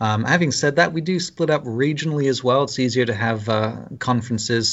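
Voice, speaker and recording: Fairly quick speech from a man in a British accent. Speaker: Lutheran pastor. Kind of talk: casual interview. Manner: halting, hesitant.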